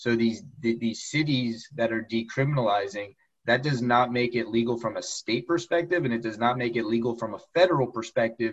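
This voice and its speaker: Over a quiet background, a man with a normal speaking voice talks at a fairly quick pace and a medium pitch, with ordinary pitch variation and hardly any pauses. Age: 30s. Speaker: lawyer and accountant. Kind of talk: interview.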